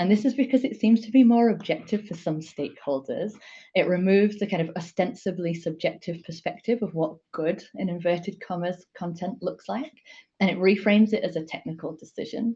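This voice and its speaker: A woman with a strong Yorkshire accent speaks at a fairly quick pace and a medium pitch, her tone dark and mellow. She sounds somewhat breathy, with ordinary pitch variation. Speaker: digital strategist and conference speaker. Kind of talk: talk at an online meetup.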